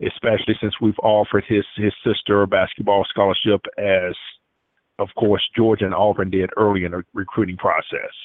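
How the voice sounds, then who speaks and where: With a Southern US accent, a man talks at a fairly quick pace in a fairly low pitch, his intonation monotone and flat. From Atmore, Alabama. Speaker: recruiting insider. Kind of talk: call-in sports talk. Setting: phone call.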